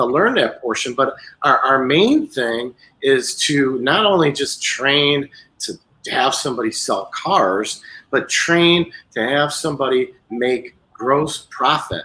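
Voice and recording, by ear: A man talks slowly with a slightly husky edge. His intonation is lively and his tone bright and sharp. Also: medium pitch for a man.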